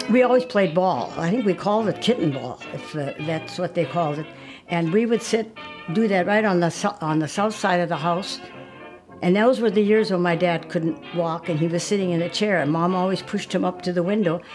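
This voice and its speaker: A woman with an American accent, fairly low in pitch and fairly quick in pace, with music in the background. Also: ordinary pitch variation. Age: 80s+. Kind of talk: interview answer.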